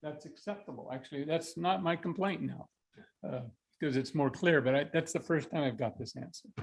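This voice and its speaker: With vocal fry, a man talks at a fairly quick pace in a fairly high pitch with ordinary pitch variation. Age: 70s. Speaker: property owner speaking at public comment. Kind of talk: public comment at county board meeting.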